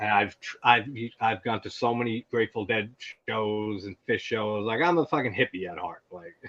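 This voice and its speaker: A man with an American accent at medium pitch and moderate pace, with ordinary pitch variation, big swings in loudness and a dry, close sound with no echo. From US Northeast, Long Island. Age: 30s. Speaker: horror YouTuber and musician. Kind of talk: casual chat. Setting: live stream. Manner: animated.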